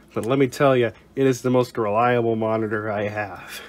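The man talks at a fairly quick pace. Noticeable background noise runs behind him. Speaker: tech YouTuber. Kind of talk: casual tech tutorial talk to camera.

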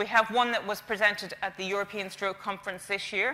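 A woman with an Irish accent talks at a very fast pace. Her tone is bright and sharp, her intonation monotone and flat. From Ireland. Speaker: stroke charity representative. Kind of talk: conference presentation. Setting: stage with audience. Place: stage. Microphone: lapel.

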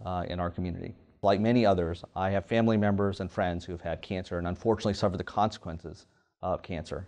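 Over a quiet background, a man with an American accent and a very deep, low pitch talks at a very fast pace with fairly even intonation. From US South, Louisiana (Kaplan); Louisiana. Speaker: surgical oncologist. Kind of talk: professional profile interview. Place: office. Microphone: lapel.

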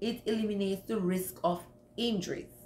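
The woman's voice is somewhat breathy, and her pace is moderate. Room echo is audible. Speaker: home cleaning vlogger. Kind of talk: casual vlog advice. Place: home room. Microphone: phone near.

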